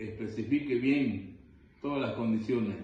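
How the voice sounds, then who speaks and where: Audible room echo hangs on a man's voice as he talks at a fairly slow pace. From Bolivia, Vallegrande. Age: 70s. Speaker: interviewee, grandfather. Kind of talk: interview.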